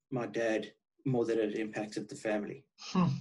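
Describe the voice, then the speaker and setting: A man speaking with a South African accent. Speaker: guest. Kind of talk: casual interview chat.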